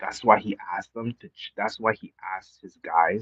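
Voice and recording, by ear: Against a quiet background, the speaker is reading aloud in a natural voice with ordinary pitch variation.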